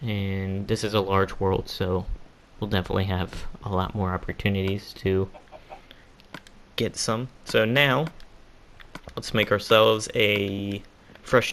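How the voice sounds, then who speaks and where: A man speaks fairly slowly, his voice fairly low and his intonation fairly even. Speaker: gaming YouTuber. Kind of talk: let's play commentary. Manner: halting.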